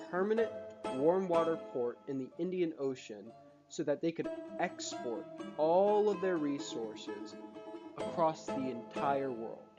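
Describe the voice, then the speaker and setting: Moderate-paced speech over background music. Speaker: history video creator. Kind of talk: educational history narration. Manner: casual, joking.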